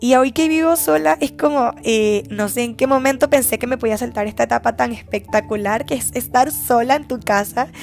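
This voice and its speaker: A woman with a fairly high pitch talks at a moderate pace with lively intonation and hardly any pauses. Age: 20s. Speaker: podcast host. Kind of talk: casual monologue. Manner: animated.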